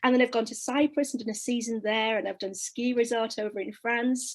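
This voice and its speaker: A woman with a high voice keeps a moderate pace. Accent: northern English. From northern England, Leeds. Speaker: singer-songwriter. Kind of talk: interview.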